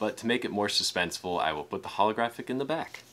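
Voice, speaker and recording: At a fairly quick pace, a man speaks in a fairly low pitch. His pitch variation is ordinary. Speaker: unboxing video host. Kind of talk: casual unboxing commentary. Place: home room.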